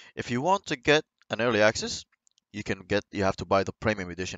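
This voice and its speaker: Speaking at a fairly quick pace, a man with a non-native accent uses a fairly low pitch. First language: not English. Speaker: gaming YouTuber. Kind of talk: video game commentary. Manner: halting.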